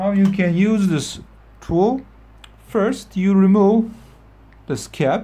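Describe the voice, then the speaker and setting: This speaker has a non-native accent and a very slow pace. Long, frequent pauses break up the speech. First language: not English. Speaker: motorcycle repair tutorial maker. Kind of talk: tutorial. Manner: halting.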